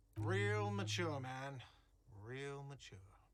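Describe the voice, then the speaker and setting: In a put-on character voice, a man shouts in a whiny way at a medium pitch. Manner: shouting, complaining, sarcastic.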